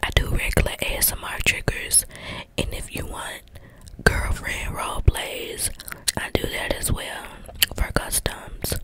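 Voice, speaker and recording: A soft-spoken woman whispers at a fairly slow pace with long, frequent pauses and big swings in loudness, the sound dry with no echo over light background noise. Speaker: ASMR creator. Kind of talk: casual ASMR chat and role play. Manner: close soft ASMR whisper into mic. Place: home room. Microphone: handheld.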